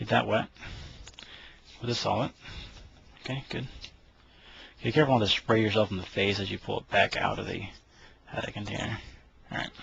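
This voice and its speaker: Over noticeable background noise, a man speaks at a fairly low pitch. His pace is very fast, broken by long, frequent pauses. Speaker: firearms hobbyist. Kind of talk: tutorial. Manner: halting.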